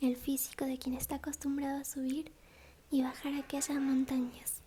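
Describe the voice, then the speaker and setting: A soft-spoken woman's high voice, calm in tone and dark and mellow, at a fairly slow pace. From Argentina. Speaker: ASMR audiobook reader. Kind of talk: audiobook reading, sleep story. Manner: soft-spoken, calm.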